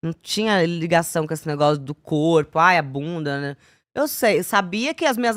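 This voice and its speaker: Her pitch swings very widely from high to low. The sound is dry and close, with no echo. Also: very clean recording, silent background. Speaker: former TV show dancer/assistant. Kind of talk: casual podcast interview. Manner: hesitant, many fillers.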